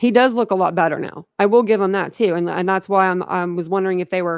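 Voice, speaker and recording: In an American accent, a woman talks at a moderate pace and medium pitch. Her intonation is fairly even, and the sound is dry and close with no echo. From Philadelphia, Pennsylvania. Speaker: true crime YouTuber. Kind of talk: casual livestream chat. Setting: home livestream, camera off.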